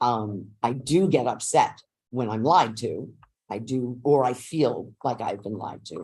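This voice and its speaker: Speaking in a New York accent, the voice carries a passionate tone at a fairly slow pace. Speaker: teachers union representative. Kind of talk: negotiation meeting. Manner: sounds aggressive.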